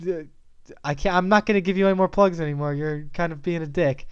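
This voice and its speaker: Speaking at a high pitch, the man is heard with noticeable background noise. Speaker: podcast co-host and movie reviewer. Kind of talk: casual chat. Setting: home studio.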